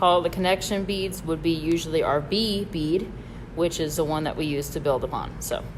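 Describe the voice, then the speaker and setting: Over noticeable background noise and audible room echo, the speaker talks at a moderate pace with a slight Southern US accent and fairly even intonation. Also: woman, fairly low pitch for a woman. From Michigan. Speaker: bead store instructor. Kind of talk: live tutorial. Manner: casual, hesitant with fillers.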